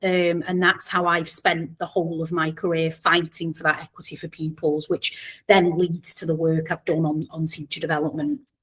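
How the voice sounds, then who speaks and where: A Mancunian accent, monotone, flat intonation and a moderate pace with hardly any pauses, on a very clean recording with a silent background. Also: woman, fairly low pitch for a woman. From northern England, Warrington near Manchester. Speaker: education professor. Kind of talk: podcast interview.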